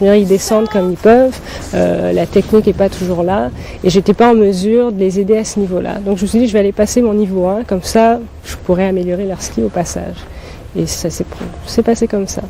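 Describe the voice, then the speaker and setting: The speech moves at a fairly quick pace with fairly even intonation over noticeable background noise. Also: woman, medium pitch for a woman. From Burkina Faso. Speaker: ski instructor and guide for blind skiers. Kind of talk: TV interview answer.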